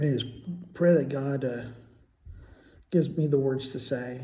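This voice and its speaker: A man with a dark, mellow tone and a somewhat breathy voice talks with ordinary pitch variation, with audible room echo around him. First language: Portuguese. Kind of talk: casual monologue vlog. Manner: halting, many fillers and repetitions.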